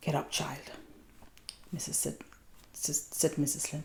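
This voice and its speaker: Soft-spoken and somewhat breathy, a woman with a Danish accent talks at a moderate pace in a very deep, low pitch, her tone dark, mellow and relaxed. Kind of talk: ASMR read-aloud. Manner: soft-spoken, relaxed.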